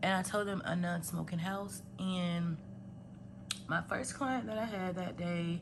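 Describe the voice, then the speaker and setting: Audible room echo fills the space. The woman talks at a moderate pace. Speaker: budgeting vlogger and healthcare worker. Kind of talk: casual vlog talk and money counting tutorial. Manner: conversational with many fillers.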